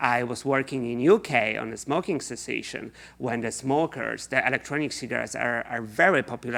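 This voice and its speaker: A man's medium-pitched voice with a Polish accent and vocal fry, at a moderate pace with ordinary pitch variation, on a very clean recording with a silent background. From Poland. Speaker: researcher. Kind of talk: lecture.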